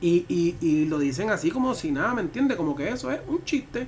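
Against noticeable background noise, a man with a Puerto Rican accent talks fairly quickly at high pitch. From Puerto Rico. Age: 30s. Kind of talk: casual chat.

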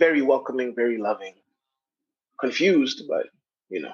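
A man with an American accent speaks at a very fast pace. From Kenya, raised mostly in the US. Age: 30s. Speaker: security business worker. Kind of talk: casual chat. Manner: animated.

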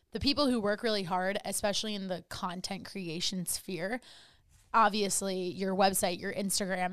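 A woman with an unremarkable speaking voice and medium pitch speaks at a moderate pace with fairly even intonation. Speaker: wellness coach and podcast host. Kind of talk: casual interview chat.

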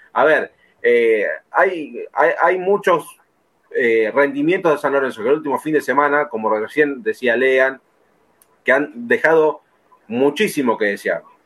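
A man speaks at a fairly slow pace with long, frequent pauses. His pitch is fairly high and its variation is ordinary. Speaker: football podcast host. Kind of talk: casual chat.

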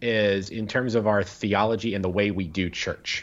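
Here a man talks at a fairly slow pace. His pitch is fairly low. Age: 30s. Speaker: Episcopal priest and podcast co-host. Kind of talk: casual chat. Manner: halting, frequent false starts.

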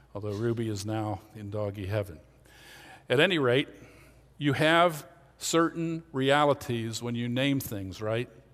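A man's medium-pitched voice with an American accent, moderate in pace, with ordinary pitch variation. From Pennsylvania, Lancaster County. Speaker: pastor. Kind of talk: sermon.

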